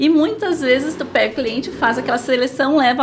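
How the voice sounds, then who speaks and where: Noticeable background noise sits under a woman talking at a fairly quick pace with a southern Brazilian accent. Her pitch is high, with ordinary variation. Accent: gaúcho (southern Brazilian). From Rio Grande do Sul, Brazil. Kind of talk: casual interview.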